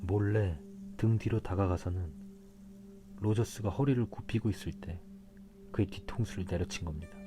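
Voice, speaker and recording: The speaker uses a calm tone at a moderate pace, with music playing in the background. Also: man. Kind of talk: audiobook reading of a mystery novel. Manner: calm, soft-spoken.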